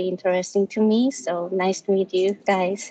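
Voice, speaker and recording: A woman speaks with a Korean accent at a moderate pace. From South Korea. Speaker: graduate student. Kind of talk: self-introduction. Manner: halting.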